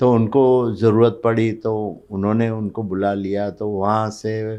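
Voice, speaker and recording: A man's dark, mellow tone at a fairly low pitch in monotone, flat intonation, against a quiet background. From Mumbai, India (born in Kutch, Gujarat). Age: 70s. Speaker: business leader. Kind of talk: podcast interview.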